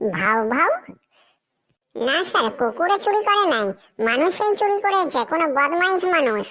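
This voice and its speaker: Squeaky and extremely high-pitched, a woman does a cartoonish character voice. Her pitch swings very widely. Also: moderate pace. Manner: nervous, bumbling.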